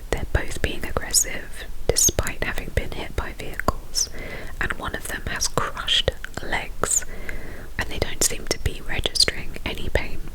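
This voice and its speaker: Whispering at a moderate pace, a woman is heard against noticeable background noise. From England. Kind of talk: ASMR true crime storytelling. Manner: whispered.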